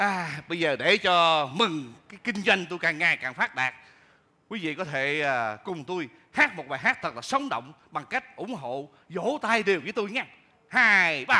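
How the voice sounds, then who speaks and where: At a fairly slow pace, the speaker talks in a bright, sharp tone. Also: man. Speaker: comedian playing a shopkeeper. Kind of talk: comic stage monologue and singing. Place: stage. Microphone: headset.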